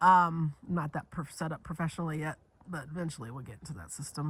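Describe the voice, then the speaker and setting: Her voice is pitched very deep and low for a woman. Vocal fry runs through it. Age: 50s. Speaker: video journaling vlogger. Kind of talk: casual monologue vlog. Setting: lounge chair at home, sunny spot. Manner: halting, repetitive false starts.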